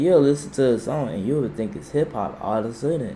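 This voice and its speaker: Over noticeable background noise, a man talks at a fairly quick pace. His fairly high voice carries lively intonation. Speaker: YouTube reaction channel host. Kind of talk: casual reaction commentary. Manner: animated.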